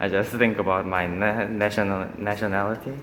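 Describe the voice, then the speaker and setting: A man speaks at a moderate pace with fairly low pitch and fairly even intonation. Audible room echo surrounds his voice. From South Korea, Busan. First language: Korean. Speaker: vlogger. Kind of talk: casual vlog monologue. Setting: on a treadmill at a gym. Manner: halting.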